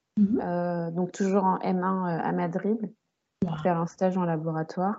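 In an unremarkable speaking voice, a woman of medium pitch speaks at a fairly slow pace with fairly even intonation. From Paris region, France. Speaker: podcast host, book content creator. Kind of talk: casual interview chat.

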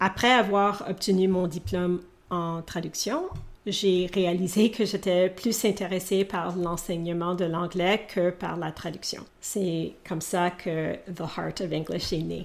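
A woman speaks at a very slow pace. Her fairly low voice keeps a fairly even intonation. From Canada (Alberta, Edmonton). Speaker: English coach. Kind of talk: interview. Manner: hesitant, with filler sounds.

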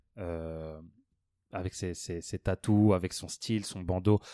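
In a very clean recording with a silent background, a man speaks in a dark, mellow tone. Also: dry, close sound with no echo. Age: 20s. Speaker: podcast co-host. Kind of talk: casual chat.

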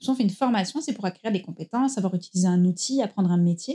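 A woman speaks with a dark, mellow tone and a somewhat breathy quality. Her pitch rises and falls in an ordinary way. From France, Marseille. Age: 30s. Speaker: founder of a career-change training center. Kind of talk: interview.

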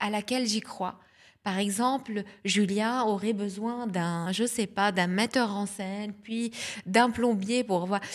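This very clean recording with a silent background features a woman. She speaks at a very slow pace in a fairly high pitch with ordinary pitch variation. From southern Lebanon. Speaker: communication and marketing specialist, festival founder. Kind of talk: interview.

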